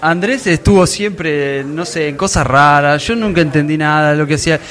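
A man speaks at a fairly high pitch and a fairly slow pace. Music plays in the background, and there is audible room echo. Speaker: podcaster. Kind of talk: live panel interview. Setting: stage with audience.

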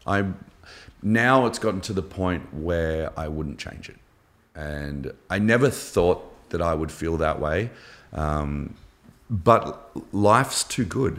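A man with an Australian accent speaks at a very slow pace, with long, frequent pauses. His very deep, low voice carries lively intonation. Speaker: former navy diver and shark attack survivor. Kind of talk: casual interview.

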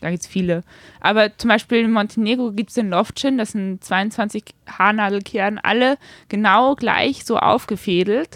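A woman with a slight northern German accent speaks at a moderate pace in a fairly high pitch with fairly even intonation. The sound is dry and close with no echo, in a very clean recording over a silent background. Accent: slight non-Viennese, northern German tinge. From Austria, Vienna. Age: 20s. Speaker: amateur road cyclist. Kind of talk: interview. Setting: bike shop.

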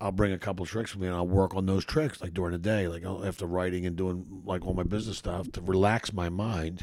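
Very fast and with hardly any pauses, a man with a Philadelphia accent talks at a very deep, low pitch with fairly even intonation on a very clean recording with a silent background. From US Northeast, Philadelphia. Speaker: comedian. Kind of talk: casual chat.

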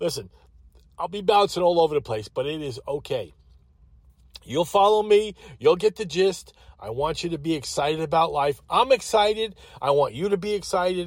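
With a Long Island accent, a man speaks at a high pitch and a moderate pace, in an animated tone with lively intonation and long, frequent pauses. The recording is very clean, with a silent background. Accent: New York (Long Island). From Long Island, New York. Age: 60s. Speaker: podcast host. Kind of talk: solo monologue. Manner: halting, many fillers.

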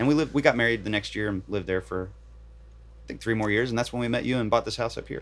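A man's fairly low voice with vocal fry, in an American accent. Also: very clean recording, silent background. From Virginia, Bridgewater. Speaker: professional guitarist. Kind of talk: casual interview. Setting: parked camper van.

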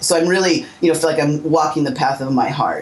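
Noticeable background noise sits behind a woman speaking in a fairly low voice. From Southern California. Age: 50s. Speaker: psychic healer and teacher. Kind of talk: interview.

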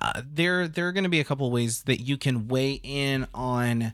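In a very clean recording with a silent background, a man speaks at a moderate pace and medium pitch with ordinary pitch variation, in a plain, everyday voice. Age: 30s. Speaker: podcast host. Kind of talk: casual chat.

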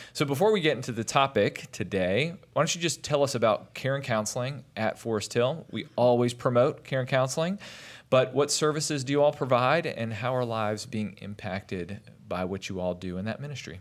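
In a plain, everyday voice of medium pitch, a man talks at a fairly quick pace with lively intonation on a very clean recording with a silent background. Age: 30s. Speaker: church parenting podcast host. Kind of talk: podcast interview. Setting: studio.

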